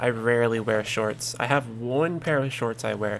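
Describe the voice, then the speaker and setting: Soft-spoken and medium in pitch, a man talks at a moderate pace over noticeable background noise. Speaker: streamer. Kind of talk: live gameplay stream chat.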